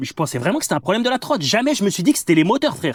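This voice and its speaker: The voice moves in very wide pitch swings. The recording is very clean, with a silent background. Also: man. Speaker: electric scooter reviewer. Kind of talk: casual ride commentary. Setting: outdoors riding a scooter. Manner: loud; casual, hesitant.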